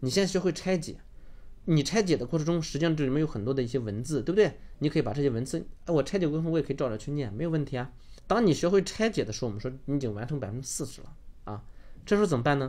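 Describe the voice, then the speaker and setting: At a very fast pace, a man talks with a fairly high pitch, a dark, mellow tone and lively intonation. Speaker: online course instructor. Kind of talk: lecture.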